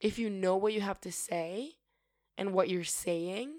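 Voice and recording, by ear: A woman with a medium pitch and a slightly mellow tone speaks at a fairly slow pace with ordinary pitch variation. The recording is very clean, with a silent background.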